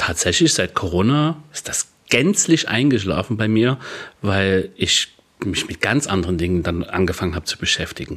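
A man with a fairly low pitch talks at a moderate pace in a plain, everyday voice. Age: 30s. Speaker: podcast co-host and DJ. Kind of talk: casual chat.

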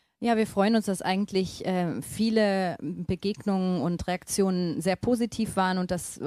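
A woman speaks at a fairly slow pace with medium pitch and fairly even intonation. Her tone is dark and mellow, and the sound is dry and close with no echo. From northern Germany. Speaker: missionary. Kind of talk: interview.

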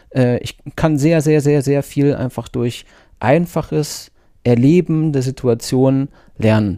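A man with a dark, mellow tone and a slight North Rhine-Westphalian accent, ordinary pitch variation, on a very clean recording with a silent background. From North Rhine-Westphalia, Germany. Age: 40s. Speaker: Scrum Master. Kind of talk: casual interview.

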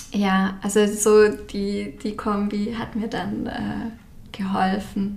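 Mid-range female voice with audible room echo and clearly noticeable background noise. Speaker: graphic designer and stationery label founder. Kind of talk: casual interview. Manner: many filler sounds.

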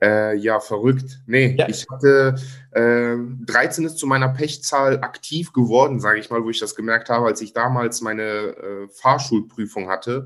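A man talks in an ordinary speaking voice at a medium pitch and moderate pace. His intonation is fairly even. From Germany, Cologne. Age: 30s. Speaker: content creator. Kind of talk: interview.

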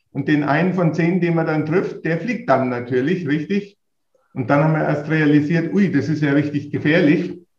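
At a moderate pace, a man talks in a normal speaking voice that is fairly high in pitch and varies in an ordinary way. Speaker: golf association executive. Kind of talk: interview.

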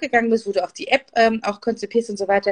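A woman's fairly high voice at a very fast pace, dry and close with no echo. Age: 40s. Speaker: business coach and podcast host. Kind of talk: interview. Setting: Instagram live video.

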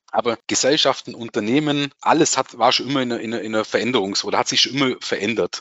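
A man with a plain, everyday voice speaks at a fairly quick pace. His medium pitch keeps fairly even intonation. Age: 40s. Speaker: tax advisor. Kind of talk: casual chat.

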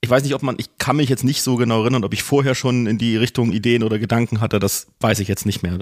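Speaking very fast, a man barely pauses. His medium-pitched voice keeps fairly even intonation. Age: 40s. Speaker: BDSM practitioner, rope rigger. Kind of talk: casual interview.

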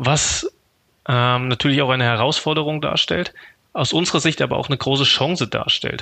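The voice belongs to a man. Its intonation remains fairly level. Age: 30s. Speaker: network manager. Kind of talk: interview.

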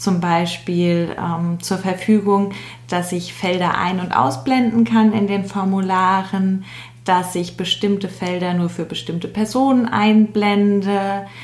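The pitch variation here is ordinary. Background noise is noticeable throughout. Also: woman. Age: 20s. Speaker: change management trainee, SharePoint specialist. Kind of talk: explanatory interview talk.

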